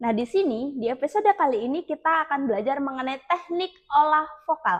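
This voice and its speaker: Her intonation is lively and her pace fairly quick. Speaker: public speaking teacher. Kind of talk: tutorial.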